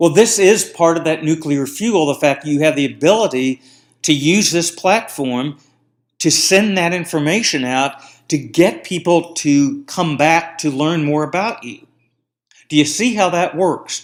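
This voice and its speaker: Fairly high in pitch, a man speaks at a fairly slow pace with ordinary pitch variation, an ordinary speaking voice. The recording is very clean, with a silent background. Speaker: marketing podcast host. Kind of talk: solo podcast monologue.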